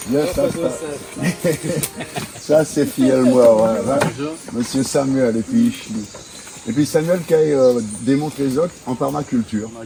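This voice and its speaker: A man speaks at a very slow pace and medium pitch, with ordinary pitch variation. Noticeable background noise fills his long, frequent pauses. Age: 60s. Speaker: local guide. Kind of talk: casual chat. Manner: halting.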